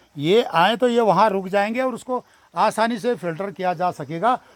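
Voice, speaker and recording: A man's high-pitched voice at a moderate pace, with lively intonation and a dry, close sound with no echo. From Uttarakhand, Gairsain area. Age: 70s. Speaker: local activist video blogger. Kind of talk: on-location vlog commentary. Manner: hesitant, many filler sounds.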